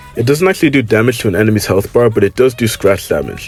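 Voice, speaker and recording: Over background music, a man at medium pitch talks at a very fast pace with ordinary pitch variation. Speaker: gaming YouTuber. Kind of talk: video game review commentary. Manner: casual.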